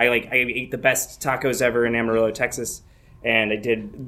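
A man's medium-pitched voice with a Midwestern US accent at a moderate pace, with audible room echo. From Michigan. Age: 20s. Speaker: comedian. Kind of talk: live storytelling. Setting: stage with audience.

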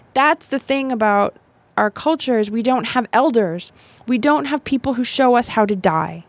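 A woman speaks in an ordinary speaking voice at a moderate pace, her pitch fairly high. The recording is very clean, with a silent background. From US South, Miami, Florida. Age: 40s. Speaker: death doula and storytelling show producer. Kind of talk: casual chat. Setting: studio.

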